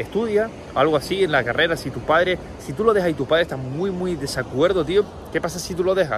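A man talks at a very fast pace with a high pitch and ordinary pitch variation. Background noise is noticeable. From Canary Islands, Tenerife. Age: 20s. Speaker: online entrepreneur and coach. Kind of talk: casual motivational monologue. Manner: animated.

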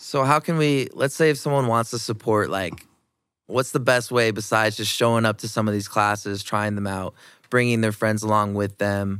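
An unremarkable speaking voice from a man with an American accent, fairly low pitch, ordinary pitch variation and moderate pace, on a very clean recording with a silent background. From Iowa, US Midwest. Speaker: podcast host. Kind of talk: casual interview. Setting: studio.

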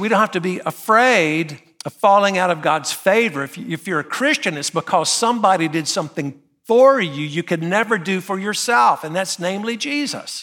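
In a Southern US accent, a man uses a raised, projected voice with a high pitch and a bright, sharp tone. His intonation is lively and his pace moderate. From US South, North Carolina. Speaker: pastor. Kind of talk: sermon. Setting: church.

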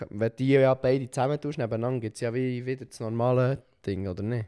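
The recording is very clean with a silent background as a man talks. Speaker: podcast co-host. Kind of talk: casual chat. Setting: sitting on a sofa.

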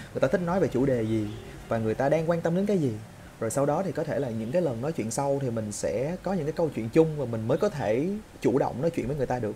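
A man's fairly high voice at a very fast pace. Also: lively intonation. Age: 20s. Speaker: YouTuber. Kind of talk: casual monologue vlog. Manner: unscripted, improvised.

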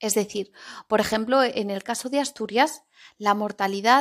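A normal speaking voice with ordinary pitch variation, in a very clean recording over a silent background. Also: woman. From Spain, Zaragoza (Aragon). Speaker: Spanish teacher podcaster. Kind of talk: language-learning podcast monologue. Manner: clear, deliberate for learners.

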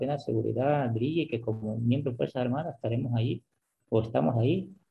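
A man at medium pitch with ordinary pitch variation. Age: 40s. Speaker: army sergeant. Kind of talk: interview. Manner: repetitive, halting.

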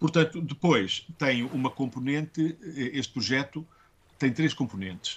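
His voice somewhat breathy and fairly high, a man speaks at a fairly slow pace with ordinary pitch variation. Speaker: schoolteacher. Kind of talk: interview. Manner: hesitant, many fillers.

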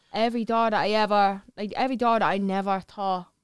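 A woman with an Irish accent speaks at a fairly quick pace and medium pitch. Her intonation is monotone and flat. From Ireland. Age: 30s. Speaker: model and social media personality. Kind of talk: casual chat.

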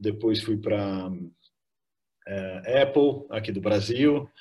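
His voice sounds somewhat breathy. The man's pitch sits in the medium range and varies in an ordinary way. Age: 50s. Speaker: tech company co-founder. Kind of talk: interview.

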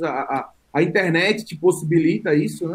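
A high-pitched male voice with lively intonation. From São Paulo, east zone. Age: 30s. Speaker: football YouTuber. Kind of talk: casual chat.

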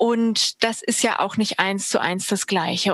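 At a moderate pace, a woman with a plain, everyday voice and a fairly high pitch speaks in a dry, close sound with no echo. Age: 30s. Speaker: party board member. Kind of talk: interview.

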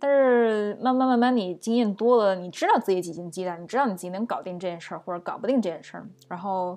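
Against a quiet background, a dark, mellow tone races along at a very fast pace with hardly any pauses, big swings in loudness and ordinary pitch variation. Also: woman, medium pitch for a woman. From China. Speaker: podcast co-host, project manager. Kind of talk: casual chat.

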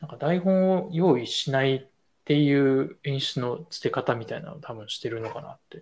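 This man's voice sits at a fairly high pitch and sounds somewhat breathy. His loudness swings widely. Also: ordinary pitch variation, moderate pace. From Tokyo. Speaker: designer and video creator. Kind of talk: casual chat.

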